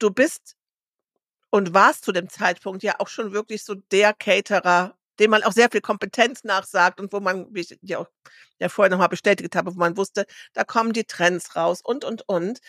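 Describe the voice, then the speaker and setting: A woman speaks in a plain, everyday voice at medium pitch with fairly even intonation. The sound is dry and close with no echo, on a very clean recording with a silent background. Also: moderate pace. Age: 50s. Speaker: podcast co-host. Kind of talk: casual chat. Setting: studio.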